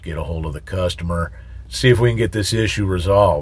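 The recording is dry, with no echo. A man speaks with ordinary pitch variation. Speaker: truck driver trainer. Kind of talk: tutorial. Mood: calm, advising. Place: car. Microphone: phone near.

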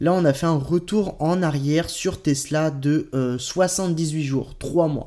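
A man's fairly high pitch and dark, mellow tone, with ordinary pitch variation over a quiet background. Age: 20s. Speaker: crypto YouTuber. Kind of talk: video commentary. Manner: hesitant, many euh fillers. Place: home room.

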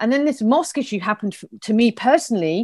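A woman with a southern English accent talks at a fairly quick pace and a fairly high pitch. Her intonation is lively, and the background is quiet. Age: 50s. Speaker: community organiser; interview guest. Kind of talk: interview. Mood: earnest, upset, determined. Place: home room. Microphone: earbuds.

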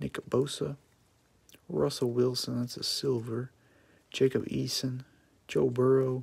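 A man with an American accent speaks at a fairly slow pace and a medium pitch, somewhat breathy, his intonation fairly even and his pauses long and frequent. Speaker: sports card box break streamer. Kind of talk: live stream commentary. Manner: monotone.

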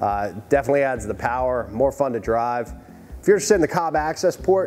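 A man talks at a very fast pace over music in the background. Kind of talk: commentary. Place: garage.

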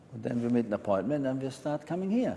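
Lively intonation marks this man's speech, with a German accent. Light background noise can be heard. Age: 70s. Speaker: resort guest giving testimonial. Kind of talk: interview testimony. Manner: halting. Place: home room. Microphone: lapel.

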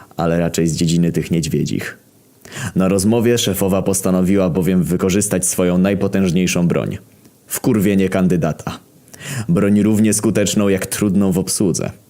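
Very even loudness and fairly even intonation against noticeable background noise. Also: man, very deep, low pitch for a man, moderate pace. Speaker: internet story reader. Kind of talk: comedic first-person story narration.

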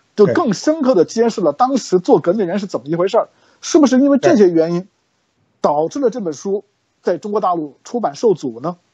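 Against a quiet background, a high-pitched man talks at a fairly quick pace with very wide pitch swings. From mainland China. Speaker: show host. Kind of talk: interview. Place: home room. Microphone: video call.

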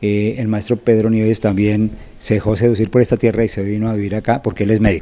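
This man talks at a very fast pace in a dark, mellow tone, his intonation monotone and flat. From Colombia, Bogotá. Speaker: journalist and novelist; journalist. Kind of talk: interview. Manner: hesitant with fillers.

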